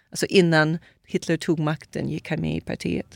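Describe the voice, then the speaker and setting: A woman's voice in a dry, close sound with no echo, on a very clean recording with a silent background. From Brazil. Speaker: author. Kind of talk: testimony. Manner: halting.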